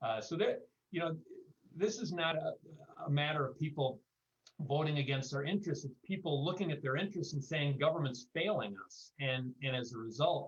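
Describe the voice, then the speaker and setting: A man's voice sits fairly high and sounds somewhat breathy. He moves at a fairly quick pace with ordinary pitch variation. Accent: American. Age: 60s. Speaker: panelist. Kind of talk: panel discussion. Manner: halting, many repeated words.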